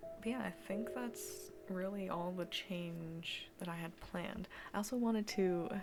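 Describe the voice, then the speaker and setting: Music plays in the background. The voice is quiet. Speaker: streamer. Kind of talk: casual chat. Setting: home basement livestream.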